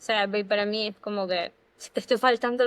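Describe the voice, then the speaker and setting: The delivery is monotone and flat, with a dry, close sound and no echo. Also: woman. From Ecuador. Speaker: podcast co-host. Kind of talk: casual chat.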